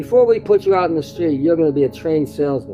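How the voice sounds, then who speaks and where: Music sounds behind a man with an American accent. His pitch is fairly high. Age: 90s. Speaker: storyteller recounting family history. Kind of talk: oral family storytelling. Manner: halting with repetitions.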